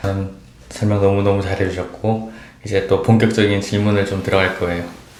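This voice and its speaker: With noticeable background noise behind him, a man speaks fairly quickly in a fairly low, monotone, flat voice. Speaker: nurse. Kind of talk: interviewer.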